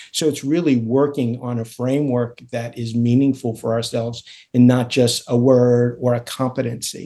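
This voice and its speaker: With an American accent, a man talks in a dark, mellow tone and a monotone, flat intonation over a quiet background. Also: medium pitch for a man, moderate pace. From Florida, Miami. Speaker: surgeon and executive coach. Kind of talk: interview conversation.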